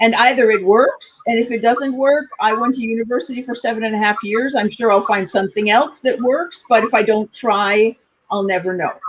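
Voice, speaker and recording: In an ordinary speaking voice, a woman talks at a fairly quick pace in a fairly high pitch with ordinary pitch variation. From United States. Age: 60s. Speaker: communication coach. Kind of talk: interview.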